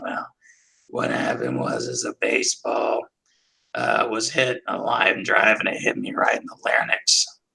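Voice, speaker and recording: A man puts on a raspy character voice. He delivers it at a moderate pace. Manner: strained.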